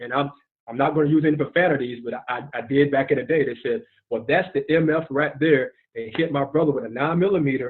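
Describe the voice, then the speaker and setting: A man speaks with an American accent at a very fast pace. His pitch is fairly high, with ordinary pitch variation. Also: big swings in loudness. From South Carolina. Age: 40s. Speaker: retired marine and network marketer. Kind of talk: testimony. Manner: animated.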